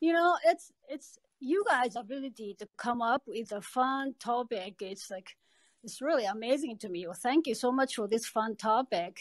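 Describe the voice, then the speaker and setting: Recorded with a dry, close sound and no echo, a woman with a Japanese accent speaks at a moderate pace in a high pitch, her intonation lively and her loudness swinging widely. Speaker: podcast participant. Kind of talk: podcast discussion.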